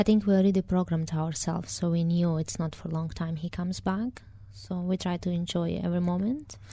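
A woman speaks at a fairly low pitch in a dark, mellow, somewhat breathy tone with ordinary pitch variation. Her pace is fairly quick, with hardly any pauses. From Moldova. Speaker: former sex worker. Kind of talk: interview. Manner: hesitant, with fillers.

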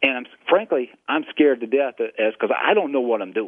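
Fairly quick and fairly high-pitched, a man speaks with a Southern US accent. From South Carolina. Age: 40s. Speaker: radio host.

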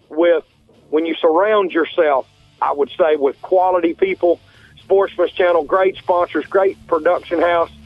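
Over music in the background, a man speaks in a high pitch with ordinary pitch variation, the sound dry and close with no echo. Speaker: hunting TV show host, radio guest.

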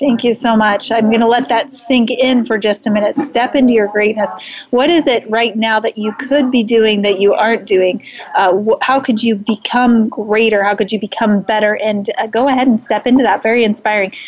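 Over noticeable background noise, a woman speaks at a fairly high pitch and a moderate pace, with fairly even intonation and very even loudness. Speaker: livestream host and speaker. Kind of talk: casual live-streamed interview. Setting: live stream at an event. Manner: soft-spoken.

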